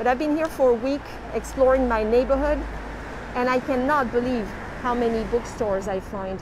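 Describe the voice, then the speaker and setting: Someone with a French accent speaks at a moderate pace with ordinary pitch variation and long, frequent pauses over noticeable background noise. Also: woman, high pitch for a woman. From France, Toulouse. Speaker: tour guide. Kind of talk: live-streamed walking tour. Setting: outdoors on the street. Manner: lively.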